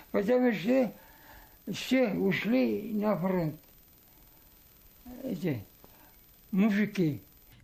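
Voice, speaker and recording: With a high pitch and lively intonation, a man speaks at a very slow pace, leaving long, frequent pauses. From Bashkortostan, Russia. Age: 80s+. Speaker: war veteran. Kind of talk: interview. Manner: halting.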